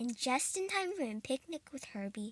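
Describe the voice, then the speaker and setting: A female-sounding voice puts on a character voice, pitched high and delivered at a moderate pace. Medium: read story. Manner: bright, friendly.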